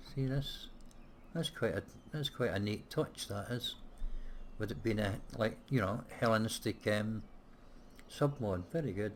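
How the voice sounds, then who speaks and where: A man's somewhat breathy, medium-pitched voice, with ordinary pitch variation and long, frequent pauses. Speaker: gaming let's play creator. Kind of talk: casual gameplay commentary.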